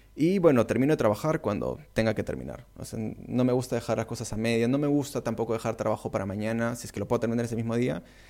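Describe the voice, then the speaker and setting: A man races along at a very fast pace with hardly any pauses, his medium-pitched voice dark and mellow with ordinary pitch variation, in a very clean recording with a silent background. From Peru. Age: 30s. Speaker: content creator and university lecturer. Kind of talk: casual interview.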